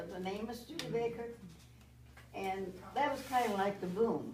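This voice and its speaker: In an American accent, a woman talks at medium pitch and a moderate pace, with ordinary pitch variation. Audible room echo can be heard. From US Midwest, South Bend, Indiana. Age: 90s. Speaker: grandmother speaking to a school class. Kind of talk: storytelling to schoolchildren. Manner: halting, with many fillers.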